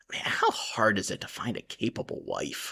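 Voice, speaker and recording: A man puts on a raspy character voice, speaking at a moderate pace. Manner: pleading, desperate.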